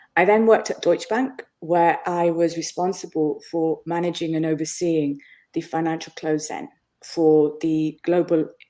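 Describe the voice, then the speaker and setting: Her voice sits fairly low for a woman and has a dark, mellow tone. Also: ordinary pitch variation. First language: Bengali. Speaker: business consultant and author. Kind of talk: interview. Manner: animated.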